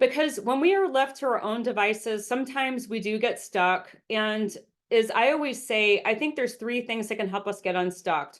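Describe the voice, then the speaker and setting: The speech comes with hardly any pauses and ordinary pitch variation. The background is quiet. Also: woman, fairly high pitch for a woman. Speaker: business coach and speaker. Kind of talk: webinar presentation. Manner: fast.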